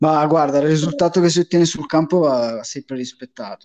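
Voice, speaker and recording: With fairly even intonation, a man speaks in a dark, mellow tone. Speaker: fantasy football league player. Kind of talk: casual chat.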